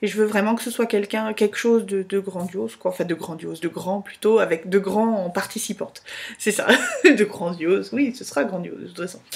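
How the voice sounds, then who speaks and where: Over noticeable background noise, a woman talks at a fairly quick pace in a medium pitch, her intonation fairly even but her loudness swinging widely. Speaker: vlogger. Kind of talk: casual video blog. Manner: fast.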